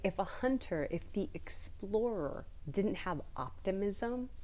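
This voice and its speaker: With audible room echo, a woman speaks in a dark, mellow tone and lively intonation. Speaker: spiritual content creator. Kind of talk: casual vlog talk about astrology. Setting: library. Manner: quiet, trying not to be loud; animated, chatty.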